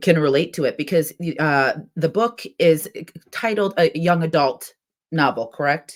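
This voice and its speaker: Pitched fairly low, a woman with an unremarkable speaking voice talks at a moderate pace with ordinary pitch variation. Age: 30s. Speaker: podcast host. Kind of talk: casual chat.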